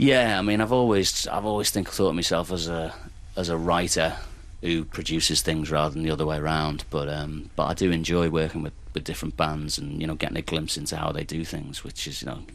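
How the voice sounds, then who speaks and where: A man with a Liverpool accent talks at a fairly quick pace with a very deep, low pitch, and the room echo is audible. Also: ordinary pitch variation. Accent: Liverpool (Scouse). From Liverpool, England. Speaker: singer-songwriter and record producer. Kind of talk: casual chat interview. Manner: halting.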